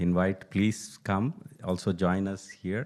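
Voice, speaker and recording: Against a quiet background, a man with a Telugu accent speaks very slowly in a fairly low pitch with fairly even intonation. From India (Telugu-speaking). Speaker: Gita teacher and poet. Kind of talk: speech at a temple event.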